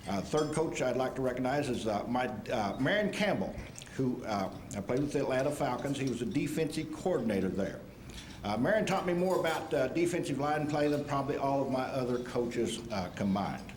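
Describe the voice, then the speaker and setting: With an American accent, a man talks at a fairly quick pace in a fairly high voice with lively intonation, amid noticeable background noise and audible room echo. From Kansas. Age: 60s. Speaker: retired football player. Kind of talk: acceptance speech. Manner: halting.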